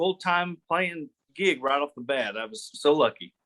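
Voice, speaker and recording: With an American accent, a man speaks at a fairly high pitch and a moderate pace, his tone bright and sharp, his pitch variation ordinary, the sound dry and close with no echo. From northwest Arkansas (Gravette). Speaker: country musician and officer. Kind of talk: casual interview.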